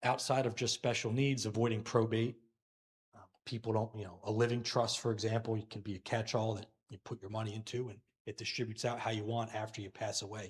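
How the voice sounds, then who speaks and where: A man speaks at a very fast pace with a medium pitch and a somewhat breathy sound. His intonation is monotone and flat, and his loudness swings widely. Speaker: financial advisor. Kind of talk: Q&A forum.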